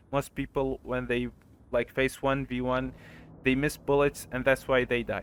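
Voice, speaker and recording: A man speaks at a moderate pace in a medium-pitched voice, his intonation flat and monotone. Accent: non-native. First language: not English. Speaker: gaming tutorial creator. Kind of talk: tutorial. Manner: halting.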